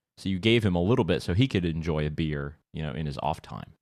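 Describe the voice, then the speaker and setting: A man with an American accent talks very fast with ordinary pitch variation, on a very clean recording with a silent background. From United States. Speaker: talk radio host. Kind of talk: casual talk radio chat.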